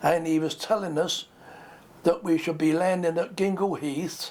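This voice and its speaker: A man talks at a moderate pace, his voice pitched high. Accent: British. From England. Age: 80s+. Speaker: war veteran. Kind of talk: interview testimony. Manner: halting.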